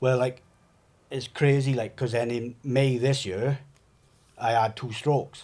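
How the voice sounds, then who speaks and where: A man's medium-pitched voice with a Welsh accent, monotone and flat, at a fairly slow pace with long, frequent pauses. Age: 40s. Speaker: trauma survivor. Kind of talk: testimony. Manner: halting.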